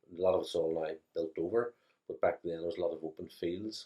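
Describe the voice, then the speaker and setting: Someone speaks at a fairly quick pace with a Belfast accent. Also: man. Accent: Belfast Northern Irish. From Northern Ireland, West Belfast. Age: 60s. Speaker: interviewee recalling childhood. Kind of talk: interview.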